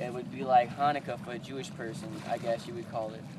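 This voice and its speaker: Noticeable background noise surrounds a man talking at a moderate pace, his pitch varying in an ordinary way. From southern Louisiana, near New Orleans (Cajun). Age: 20s. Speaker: reality show casting hopeful. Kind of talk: self-introduction monologue. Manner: loud.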